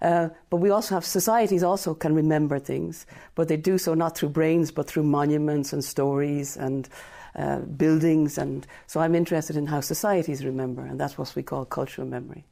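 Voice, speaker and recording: A woman's very deep, low voice with a dark, mellow tone and ordinary pitch variation, fairly quick, on a very clean recording with a silent background. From Ireland. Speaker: professor of comparative literature. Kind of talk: radio interview.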